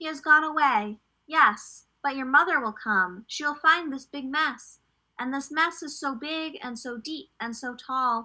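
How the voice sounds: In a put-on character voice, a woman speaks at a high pitch with a bright, sharp tone, a fairly slow pace and ordinary pitch variation.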